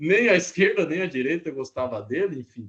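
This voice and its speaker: Lively in intonation, a male voice moves along at a fairly quick pace. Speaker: university professor. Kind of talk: lecture. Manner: fast; casual, conversational.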